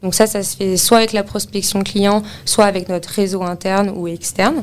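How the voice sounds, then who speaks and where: A woman speaks at a fairly slow pace and medium pitch. It is an unremarkable speaking voice with fairly even intonation. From Paris, France. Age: 20s. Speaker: office real estate consultant. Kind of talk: interview testimony.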